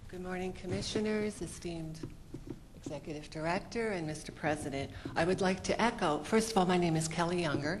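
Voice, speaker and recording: A soft-spoken woman talks at a fairly quick pace in a fairly low pitch. Noticeable background noise sits behind her. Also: ordinary pitch variation. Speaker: public commenter at commission meeting. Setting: public hearing. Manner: quiet, trouble projecting.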